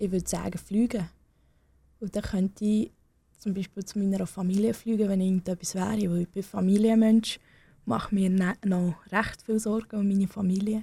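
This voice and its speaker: A woman with a non-native accent speaks at a moderate pace and medium pitch, her somewhat breathy voice carrying a dark, mellow tone and monotone, flat intonation on a very clean recording with a silent background. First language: not German (speaking German). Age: young. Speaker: young political candidate. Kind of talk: radio interview. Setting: radio studio. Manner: hesitant, with fillers.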